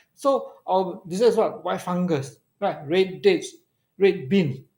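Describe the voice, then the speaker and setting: In a very clean recording with a silent background, a man talks with a high pitch and a Malaysian accent. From Malaysia, Kedah (Alor Setar). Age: 60s. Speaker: regular live-show commentator. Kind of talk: casual live-stream chat. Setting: live stream.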